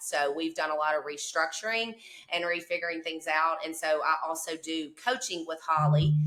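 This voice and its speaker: At a moderate pace, a woman with a Southern US accent speaks in a fairly low pitch. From southwest Mississippi. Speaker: cleaning business owner. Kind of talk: casual interview chat.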